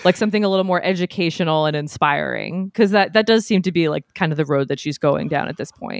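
Speaking very fast with hardly any pauses, a woman uses a fairly low pitch and ordinary pitch variation. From New England. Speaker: podcaster and videographer. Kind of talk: casual chat.

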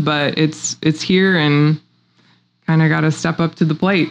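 A woman talks in a plain, everyday voice at a fairly slow pace. Her pitch is fairly low, with fairly even intonation. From US Midwest, southwest Missouri (Republic). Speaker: girls' sports advocate, former college basketball player. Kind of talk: podcast interview. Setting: studio in host's home.

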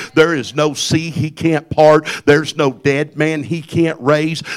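A man with a Southern US accent speaks fairly slowly at a fairly high pitch. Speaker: preacher. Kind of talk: sermon. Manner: restrained volume to save voice.

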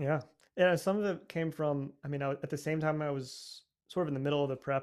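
A man speaks in an ordinary speaking voice with an American accent, his pitch fairly high. His pace is fairly quick and his intonation fairly even. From United States. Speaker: orchestral percussionist. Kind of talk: interview.

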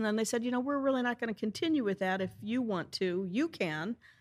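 A woman with an American accent has a normal speaking voice at medium pitch, heard in a very clean recording with a silent background. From US Midwest, St. Louis, Missouri. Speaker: bookstore and coffee house owner. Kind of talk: casual interview.

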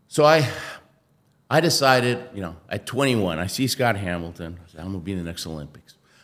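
Speaking at a fairly quick pace with an American accent, a man uses a fairly low pitch, very wide pitch swings and big swings in loudness. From Argentina, then US (Houston). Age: 60s. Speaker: Olympic athlete, motivational speaker. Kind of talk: interview.

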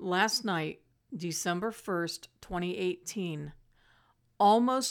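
In a very clean recording with a silent background, a woman speaks at a very slow pace with ordinary pitch variation. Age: 50s. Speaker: podcast host sharing emotional healing advice. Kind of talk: personal monologue, self-help podcast.

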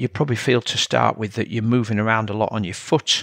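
A man talks with a Yorkshire accent. The sound is dry and close, with no echo. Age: 50s. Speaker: triathlon coach and podcast host. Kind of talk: solo educational talk.

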